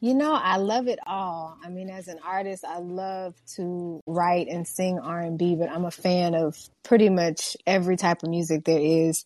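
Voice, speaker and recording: A woman with an American accent and a plain, everyday voice speaks at a fairly low pitch with ordinary pitch variation, big swings in loudness and hardly any pauses. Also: moderate pace. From Houston, Texas. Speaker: R&B singer-songwriter. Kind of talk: radio interview.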